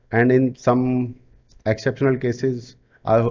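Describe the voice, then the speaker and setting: This man speaks with an Indian accent. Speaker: digital marketing coach. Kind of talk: sales pitch.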